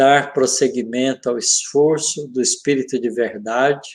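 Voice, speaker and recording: Fairly even in intonation, the speech proceeds very slowly. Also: man. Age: 70s. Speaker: physics professor and spiritist speaker. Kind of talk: religious study discussion.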